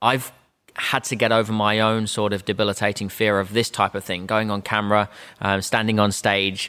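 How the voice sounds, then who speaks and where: The man's tone is bright and sharp, his pitch fairly low. He speaks at a fairly quick pace with monotone, flat intonation. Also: very clean recording, silent background. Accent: Australian. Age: 30s. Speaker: sales trainer and business owner. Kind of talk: interview.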